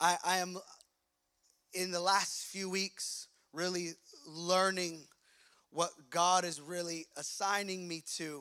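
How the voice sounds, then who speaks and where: With long, frequent pauses, a man talks in a bright, sharp tone at a high pitch. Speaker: pastor. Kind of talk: sermon. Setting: church. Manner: fast talker; animated.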